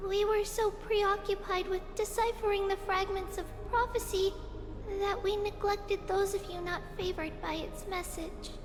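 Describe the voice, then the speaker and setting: A woman's put-on character voice, extremely high in pitch and fairly slow, over loud background music. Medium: game stream. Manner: warm, eager.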